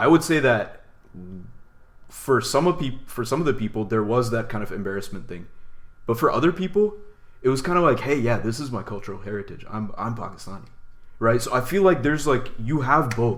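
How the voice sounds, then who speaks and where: An American accent marks this man's normal speaking voice, pitched medium, with lively intonation at a fairly quick pace. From United States. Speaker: podcast co-host. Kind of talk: casual discussion.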